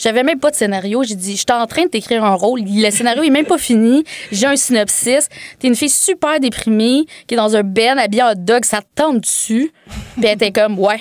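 With a Quebec accent, a woman speaks at a moderate pace and a fairly high pitch, with ordinary pitch variation. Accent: Québécois French. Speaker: filmmaker. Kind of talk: casual chat. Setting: studio.

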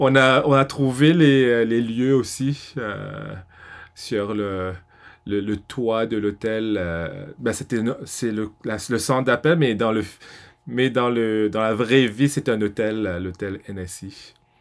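A man with a medium-pitched voice speaks at a very slow pace with ordinary pitch variation and long, frequent pauses, on a very clean recording with a silent background. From Mauritius. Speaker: film director. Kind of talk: casual interview. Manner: hesitant, many fillers.

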